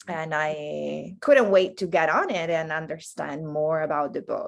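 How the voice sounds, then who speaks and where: At a fairly slow pace, a woman talks in an Italian accent. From Italy. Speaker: healing coach. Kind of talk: podcast interview.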